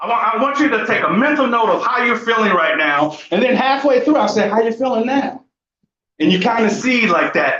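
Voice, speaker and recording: A man speaks at a moderate pace with an animated tone and an extremely high pitch, and audible room echo surrounds his voice. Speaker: conservation speaker and university lecturer. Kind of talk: public talk. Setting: stage with audience.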